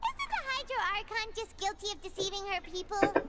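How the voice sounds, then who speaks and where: In a put-on character voice that is squeaky and extremely high-pitched, the speaker talks at a fairly quick pace over noticeable background noise. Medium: video game. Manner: excitable, chatty.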